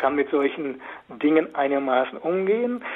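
Pitched fairly high, a man's voice moves at a moderate pace with ordinary pitch variation. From Westphalia, Germany (Münsterland / Osnabrück area). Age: 60s. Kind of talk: radio interview. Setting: phone call.

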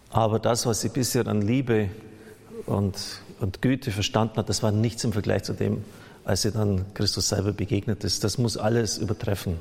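A man with a fairly low pitch talks at a moderate pace in a plain, everyday voice, his loudness very even and his intonation fairly even. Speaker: priest. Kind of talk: sermon, earnest and pastoral, addressing the congregation directly. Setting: church. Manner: earnest, admonishing, explanatory; conversational, occasionally stumbling and self-correcting.

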